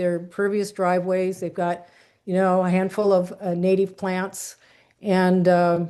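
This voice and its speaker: A woman talks at a moderate pace and a medium pitch. Her tone is dark and mellow. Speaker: community volunteer presenter. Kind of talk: presentation to online meeting.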